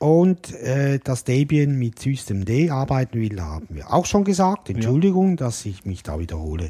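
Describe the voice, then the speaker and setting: Dark, mellow and somewhat breathy male speech at medium pitch, moderate pace and very wide pitch swings. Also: hardly any pauses. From Switzerland. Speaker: podcast co-host. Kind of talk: casual chat.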